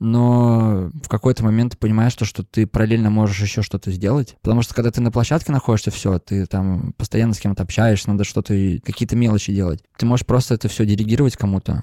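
Very fast and very even in loudness, a man speaks with fairly even intonation and a dark, mellow tone. The recording is very clean and dry, close with no echo and a silent background. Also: fairly low pitch for a man. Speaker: concert promoter and label co-founder. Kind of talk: casual interview chat. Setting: in person in Saint Petersburg.

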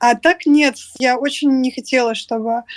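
A woman speaks at a high pitch. The sound is dry and close, with no echo. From Moscow, Russia. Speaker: social media manager. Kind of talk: interview.

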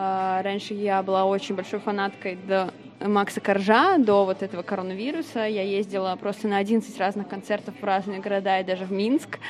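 A woman's medium-pitched voice with fairly even intonation over noticeable background noise. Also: moderate pace. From Russia, Vladimir. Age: 20s. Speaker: bartender. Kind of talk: casual interview chat.

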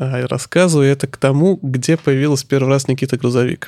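A man speaks at a very fast pace in a fairly high pitch. His pitch varies in an ordinary way. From Russia, Saratov region. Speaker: craftsman and small business owner. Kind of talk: casual chat.

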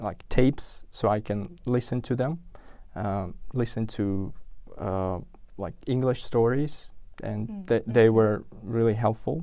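On a very clean recording with a silent background, a man with a dark, mellow tone and medium pitch talks at a fairly slow pace, with long, frequent pauses. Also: ordinary pitch variation. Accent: Uzbek. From Uzbekistan, Tashkent. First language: Uzbek. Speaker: software engineer. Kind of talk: interview. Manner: halting, many repetitions and fillers.

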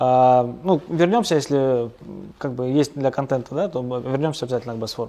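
A man speaks in a normal speaking voice at medium pitch. His pace is fairly quick, with ordinary pitch variation. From Pyatigorsk, North Caucasus, Russia. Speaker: small business co-founder. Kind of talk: interview. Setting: construction site.

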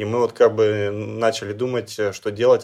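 In a monotone, flat intonation, a man speaks at a moderate pace with a fairly low pitch. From Russia, Chelyabinsk region. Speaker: Paralympic cyclist. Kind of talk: interview. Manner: hesitant.

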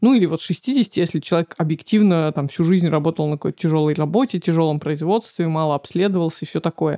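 Her voice fairly low with a dark, mellow tone, a woman speaks at a fairly quick pace with ordinary pitch variation, recorded dry and close with no echo. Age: 30s. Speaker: podcast co-host, editor. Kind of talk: casual chat.

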